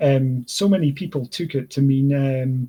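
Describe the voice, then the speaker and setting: A man speaks at a moderate pace with a fairly high pitch. His tone is dark and mellow, and somewhat breathy. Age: 20s. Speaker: gaming streamer. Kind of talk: casual chat. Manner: halting, many fillers.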